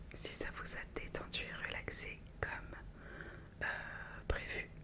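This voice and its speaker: Noticeable background noise surrounds a woman as she whispers. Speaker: ASMR content creator. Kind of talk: ASMR relaxation video intro to camera. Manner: soft, whispered, calming.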